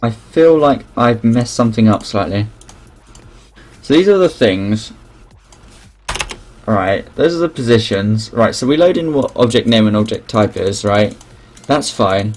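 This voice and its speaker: Mumbling at a fairly slow pace, the speaker leaves long, frequent pauses amid noticeable background noise. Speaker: game developer streaming live coding. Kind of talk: live coding stream, thinking aloud. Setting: live stream. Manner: halting, self-interrupting.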